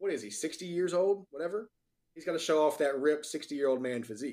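Talking very fast, a man with an American accent uses a fairly high pitch and ordinary pitch variation. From North Carolina. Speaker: podcast co-host. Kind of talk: casual chat.

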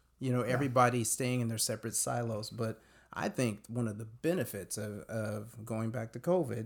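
In a very clean recording with a silent background, a man with a Californian accent speaks fairly quickly at a medium pitch, his pitch varying in an ordinary way. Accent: Californian American. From US West Coast, Modesto, California. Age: 40s. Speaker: youth advocate, former youth pastor. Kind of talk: radio interview.

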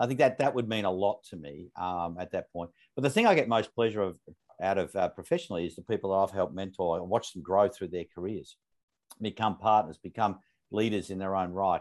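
Speaking at a very fast pace with an Australian accent, a man with a fairly low pitch is heard against a quiet background. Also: ordinary pitch variation. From Australia, northern suburbs of Melbourne. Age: 50s. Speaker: company CEO. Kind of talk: interview.

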